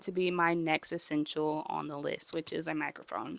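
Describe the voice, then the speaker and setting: A woman speaks softly at a fairly low pitch. Her tone is bright and sharp. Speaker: content creator. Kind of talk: tutorial. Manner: soft-spoken; casual.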